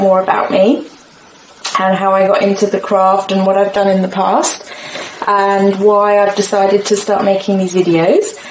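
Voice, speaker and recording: With an English accent, a woman speaks at a moderate pace amid audible room echo and noticeable background noise. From England. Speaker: crafting video creator. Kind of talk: unboxing tutorial. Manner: hesitant, many fillers.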